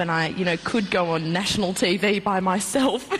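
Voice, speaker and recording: The speaker has an Australian accent. Noticeable background noise runs underneath. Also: woman. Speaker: reality show contestant. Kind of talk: TV interview. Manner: loud.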